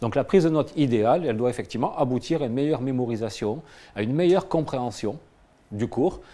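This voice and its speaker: A dark, mellow tone comes through at a very fast pace in a very clean recording with a silent background. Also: man. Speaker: cognitive psychology researcher. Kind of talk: lecture.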